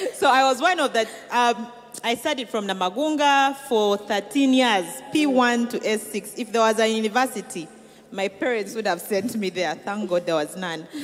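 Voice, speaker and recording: A woman's fairly high voice, delivered at a moderate pace with lively intonation, rises over noticeable background noise. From Uganda (Kigezi roots). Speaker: entrepreneur, cosmetics founder. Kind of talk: interview testimony.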